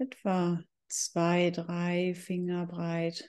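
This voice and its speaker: The background is quiet. A woman speaks in a dark, mellow tone at a fairly low pitch. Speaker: meditation guide. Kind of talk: guided meditation. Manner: slow, calm, soothing; sparse, with long pauses between short cues.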